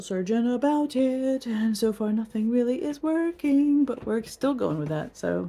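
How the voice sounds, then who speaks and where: Lively intonation runs through this woman's speech. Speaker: vlogger. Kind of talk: casual vlog talk. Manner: fast.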